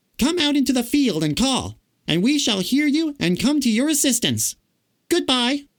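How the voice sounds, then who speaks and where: This man puts on a character voice pitched extremely high. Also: moderate pace. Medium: read story. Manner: timid.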